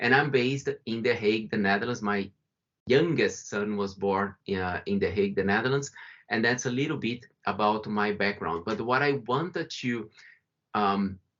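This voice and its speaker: With a Brazilian accent, a man talks at a medium pitch and a moderate pace, his pitch varying in an ordinary way. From Brazil, São Paulo. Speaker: company founder and CEO. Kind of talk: webinar presentation.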